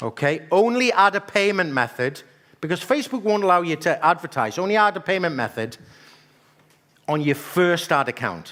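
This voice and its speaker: A man speaks at a high pitch with a bright, sharp, animated tone and very wide pitch swings. His pace is moderate against a quiet background. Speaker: marketing trainer. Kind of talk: live workshop presentation. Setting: stage with audience. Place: hall.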